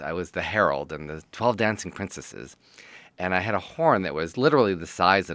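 In a very clean recording with a silent background, a man with an American accent speaks at a moderate pace in a very deep, low pitch with a bright, sharp tone. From Detroit, Michigan. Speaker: TV writer and producer. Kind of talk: interview.

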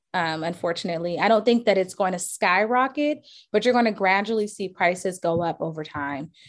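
A woman with an American accent talks in an unremarkable speaking voice at medium pitch, fairly quick, with hardly any pauses. Her intonation is lively and the recording is very clean with a silent background. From Charleston, South Carolina. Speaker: real estate agent. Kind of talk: interview.

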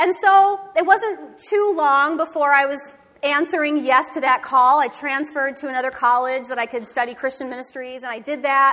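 Over noticeable background noise, a woman with a high voice speaks at a moderate pace in a raised, projected, animated tone with ordinary pitch variation. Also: hardly any pauses. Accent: American. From Michigan. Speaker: pastor. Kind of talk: sermon.

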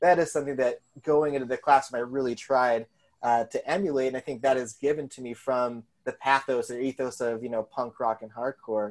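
With an American accent and a plain, everyday voice, a man talks at a fairly quick pace and medium pitch with fairly even intonation. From Colorado. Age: 30s. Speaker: high school English teacher and zine and record label owner. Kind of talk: casual interview chat.

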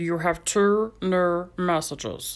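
Put-on character voice, female-sounding and fairly low-pitched, on a very clean recording with a silent background. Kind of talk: automated recorded message.

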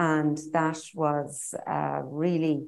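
A woman's very deep, low voice with an Irish accent. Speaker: politician. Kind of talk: panel discussion.

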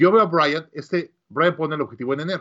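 A man is talking. He speaks with a Mexican accent. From Mexico City, Mexico. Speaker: business coach and entrepreneur. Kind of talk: interview.

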